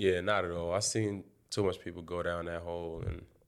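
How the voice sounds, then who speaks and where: A man speaks with a New York accent in a very deep, low voice. His intonation stays flat and monotone. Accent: New York City. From Brooklyn, New York. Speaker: college basketball player. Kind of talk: interview.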